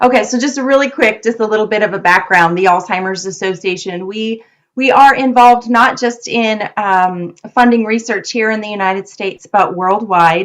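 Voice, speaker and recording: A woman with an ordinary speaking voice talks at a moderate pace, fairly high in pitch, with ordinary pitch variation and hardly any pauses. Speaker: nonprofit program director and research presenter. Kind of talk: presentation on research. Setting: video call.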